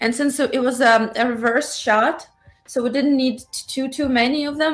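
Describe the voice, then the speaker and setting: A woman talks at a moderate speed while noticeable noise sounds in the background. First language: Russian. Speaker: cosplayer and fan film actress. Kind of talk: casual chat.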